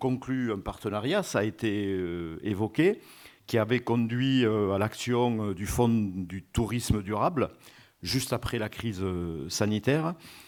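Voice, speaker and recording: With a southern French accent, the speech comes at a fairly slow pace with ordinary pitch variation in a very clean recording with a silent background. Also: man, fairly low pitch for a man. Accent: Occitan French. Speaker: regional tourism official. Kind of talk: conference welcome speech. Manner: hesitant, frequent filler 'euh'.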